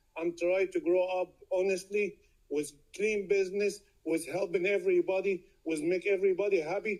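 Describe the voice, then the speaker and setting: A man talks with a high pitch at a moderate pace. His intonation stays fairly even. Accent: non-native. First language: not English (speaks Arabic, Italian, Spanish). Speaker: sidewalk vendor. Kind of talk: public comment at city meeting.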